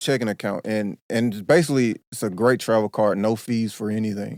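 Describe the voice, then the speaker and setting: This voice, in an American accent, has ordinary pitch variation. The recording is very clean, with a silent background and a dry, close sound with no echo. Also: man. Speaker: podcast host. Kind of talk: casual chat.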